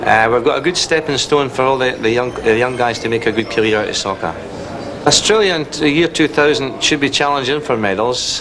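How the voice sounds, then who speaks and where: The man's voice sits at a medium pitch. Audible room echo and noticeable background noise surround it. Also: ordinary pitch variation, fairly quick pace. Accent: Scottish. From Scotland. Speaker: football coach. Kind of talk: interview.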